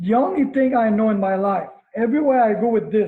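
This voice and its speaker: Speaking with a Quebec accent, a man uses an extremely high pitch with ordinary pitch variation. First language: French. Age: 50s. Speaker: karate instructor. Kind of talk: interview.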